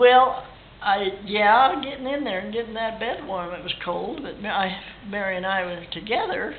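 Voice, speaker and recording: A woman with an American accent, ordinary pitch variation and big swings in loudness, with noticeable background noise and audible room echo. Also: fairly high pitch for a woman, moderate pace. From Idaho, US. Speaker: ranch family elder. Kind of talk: oral history interview. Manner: halting.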